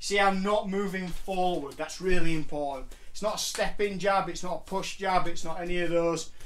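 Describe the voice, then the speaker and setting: A man at a fairly quick pace with fairly even intonation, amid audible room echo and light background noise. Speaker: martial arts coach. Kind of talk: tutorial. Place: home room. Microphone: camera far.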